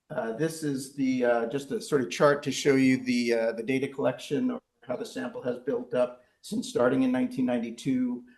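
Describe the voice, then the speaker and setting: Audible room echo hangs around the voice. The man keeps to a moderate pace. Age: 60s. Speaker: research professor. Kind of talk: lecture. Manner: halting, many fillers.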